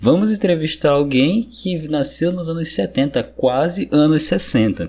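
A man speaks in a somewhat breathy voice. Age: 20s. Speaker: podcast host. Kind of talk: casual interview.

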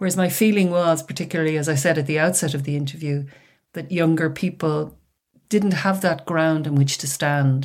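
On a very clean recording with a silent background, a woman with an Irish accent speaks at a moderate pace with a very deep, low pitch and fairly even intonation. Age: 60s. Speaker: author and retired academic. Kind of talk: interview.

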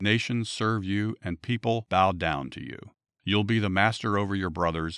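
A man with a very deep, low voice talks at a moderate pace in a very clean recording with a silent background. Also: dry, close sound with no echo. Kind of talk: bible storytelling. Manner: earnest, steady storyteller reading the narrative plainly.

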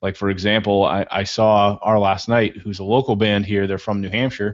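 A man talks at a fairly quick clip in a fairly low voice. It is an unremarkable speaking voice. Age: 20s. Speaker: podcast host. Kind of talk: interview conversation.

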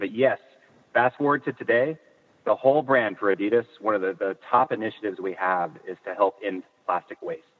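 A man with a Californian accent talks at a medium pitch. His pace is fairly quick. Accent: Californian American. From Northern California. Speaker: footwear industry executive. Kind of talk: interview. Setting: in a car. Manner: hesitant, many fillers.

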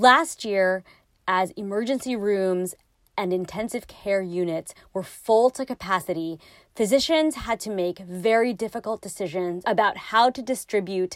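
A woman with a normal speaking voice, medium pitch, ordinary pitch variation, and a fairly slow pace in a very clean recording with a silent background. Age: 30s. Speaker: podcast host, lawyer. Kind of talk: interview; scripted narration.

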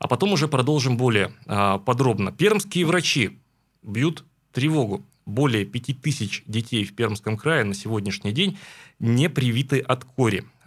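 A man with a plain, everyday voice and lively intonation at a fairly slow pace, in a very clean recording with a silent background. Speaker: radio host. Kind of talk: morning radio talk show. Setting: studio.

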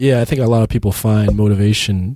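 Somewhat breathy, a man speaks at a fairly quick pace in a fairly low pitch. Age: 30s. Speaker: podcast host. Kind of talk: casual chat.

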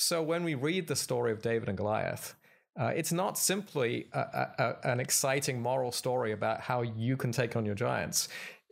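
In a British accent, a man speaks at medium pitch and a moderate pace, with lively intonation and very even loudness. The recording is very clean, with a silent background. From Britain. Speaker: seminary professor and pastor. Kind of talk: interview. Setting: live on-site at a conference.

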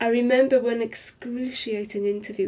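A woman with a Welsh accent speaks at a moderate pace. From Wales, Swansea area. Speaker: niece of a film star. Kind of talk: interview.

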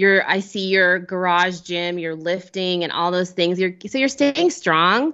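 A woman with a plain, everyday voice speaks at a medium pitch with ordinary pitch variation. Her pace is fairly slow, with hardly any pauses. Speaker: amateur marathon runner and podcaster. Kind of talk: casual chat.

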